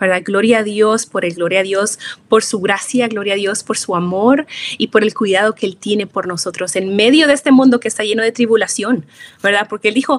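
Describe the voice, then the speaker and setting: An ordinary speaking voice from a woman, fairly high in pitch, at a fairly quick pace with ordinary pitch variation. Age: 30s. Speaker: psychologist and biblical counselor. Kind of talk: interview advice.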